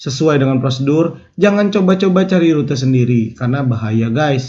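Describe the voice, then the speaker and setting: Slightly breathy speech with a Jakarta accent moves at a moderate pace, with ordinary pitch variation and audible room echo. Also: man. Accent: Betawi. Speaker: YouTube storyteller. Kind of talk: casual narration. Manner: casual.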